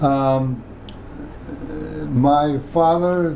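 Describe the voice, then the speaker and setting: Audible room echo and noticeable background noise surround the recording. A man speaks at a fairly high pitch. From Washington, D.C. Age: 90s. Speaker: oral history interviewee. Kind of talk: oral history interview. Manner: halting.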